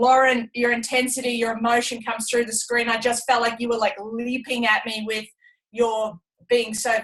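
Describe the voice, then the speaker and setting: A woman with an Australian accent speaks at a fairly high pitch in a flat, monotone delivery. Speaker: retired Olympic athlete. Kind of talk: testimony on a team business call.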